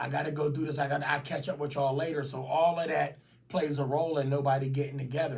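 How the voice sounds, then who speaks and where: A somewhat breathy man's voice with audible room echo. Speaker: YouTuber. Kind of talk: casual vlog monologue. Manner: halting.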